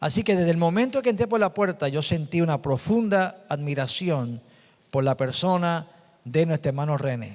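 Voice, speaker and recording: A man speaks at a high pitch, his loudness staying very even throughout. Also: lively intonation, moderate pace. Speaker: pastor. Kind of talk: sermon. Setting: church. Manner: halting.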